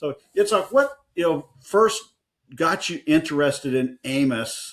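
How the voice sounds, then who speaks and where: A man with a Midwestern accent, in a very clean recording with a silent background. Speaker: podcast co-host, biblical scholar. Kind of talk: casual chat.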